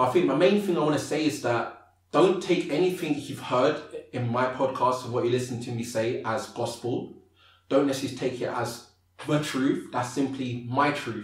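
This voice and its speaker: With music in the background and audible room echo, a man speaks at medium pitch with ordinary pitch variation. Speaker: motivational speaker. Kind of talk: podcast interview. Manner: fast.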